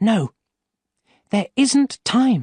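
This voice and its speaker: A fairly high pitch marks this put-on character voice. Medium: read story.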